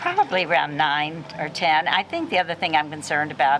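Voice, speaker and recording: A woman with a very deep, low voice talks at a fairly quick pace over noticeable background noise. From US South, Nashville, Tennessee. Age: old. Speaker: community leader. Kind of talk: interview. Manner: hesitant, many fillers.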